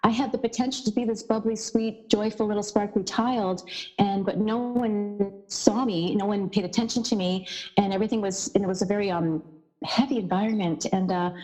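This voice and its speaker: A woman speaks at a fairly quick pace in a fairly high pitch. There is noticeable background noise. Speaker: podcast guest. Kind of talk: casual chat. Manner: animated, varied intonation; not monotone.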